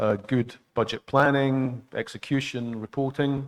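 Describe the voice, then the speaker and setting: A man with a Scottish accent talks at a medium pitch with fairly even intonation. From Scotland. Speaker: international public finance expert. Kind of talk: training lecture. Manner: halting, many fillers.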